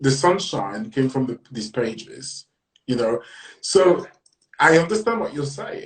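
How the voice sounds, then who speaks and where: A man speaks with a French accent at a moderate pace. His voice is somewhat breathy, with very wide pitch swings. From lived on several continents, then grew up in Britain. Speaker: writer and magazine editor. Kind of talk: podcast interview. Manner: hesitant, many fillers.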